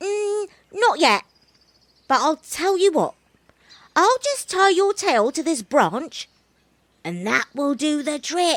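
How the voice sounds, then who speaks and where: Using a put-on character voice, a woman speaks at an extremely high pitch and a fairly slow pace with long, frequent pauses. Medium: read story. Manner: sly, laid-back, teasing.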